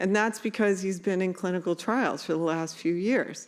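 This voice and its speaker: A woman speaks at a moderate pace with an animated tone. The recording is very clean, with a silent background. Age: 60s. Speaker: parent advocate and nonprofit CEO. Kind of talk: conference talk.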